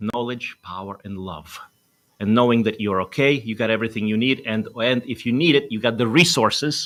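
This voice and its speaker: Speech in a Russian accent at a moderate pace with ordinary pitch variation, on a very clean recording with a silent background. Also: man. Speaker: doctor and wellness show host. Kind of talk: talk show interview.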